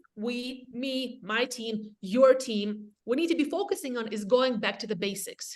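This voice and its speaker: The speaker is a woman. Her pitch is high. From Latvia, Eastern Europe. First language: Russian. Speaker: real estate agent and team leader. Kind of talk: webinar presentation. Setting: video call. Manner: animated.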